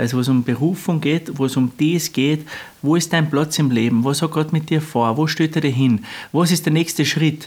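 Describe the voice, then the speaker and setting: A man talks at a fairly quick pace in a fairly high pitch. His pitch variation is ordinary, and he has an unremarkable speaking voice. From Austria, Lungau (Salzburg). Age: 30s. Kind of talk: interview.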